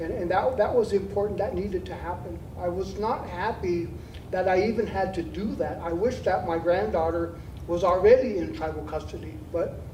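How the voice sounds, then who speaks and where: Moderate-paced speech in an American accent, with noticeable background noise. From Nebraska, Winnebago tribe. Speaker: Native community elder speaking at a forum. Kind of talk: panel Q&A answer. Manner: halting, with frequent fillers and repeats.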